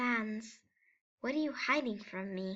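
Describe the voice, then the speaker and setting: A female-sounding voice puts on a character voice with a fairly high pitch. The pace is fairly slow. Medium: fan dub. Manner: grandiose, formal, self-important.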